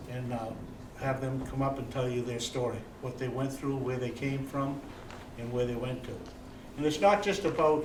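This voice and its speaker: A man speaks at a moderate pace with a medium pitch and fairly even intonation, with noticeable background noise and audible room echo. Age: 70s. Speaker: Marine veteran, event host. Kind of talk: moderated talk to live audience.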